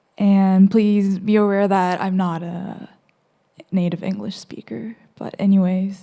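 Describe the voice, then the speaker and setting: A woman with a Korean accent speaks fairly slowly at medium pitch in a dark, mellow tone with fairly even intonation, on a very clean recording with a silent background. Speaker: student presenter. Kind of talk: presentation. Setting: gallery with audience. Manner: halting.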